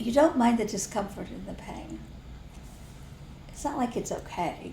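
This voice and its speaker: A woman with an American accent at a fairly high pitch and moderate pace, with lively intonation, big swings in loudness, and audible room echo. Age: old. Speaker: spiritual teacher. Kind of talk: casual chat.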